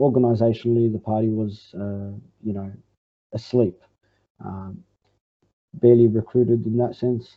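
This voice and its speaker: A man with a medium pitch, flat monotone intonation, and a moderate pace. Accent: Australian. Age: 20s. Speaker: communist party organizer. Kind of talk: interview answer. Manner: halting, many fillers.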